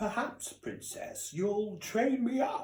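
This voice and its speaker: A man's put-on character voice at an extremely high pitch, delivered at a very slow pace with ordinary pitch variation. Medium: read story. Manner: grand, gallant.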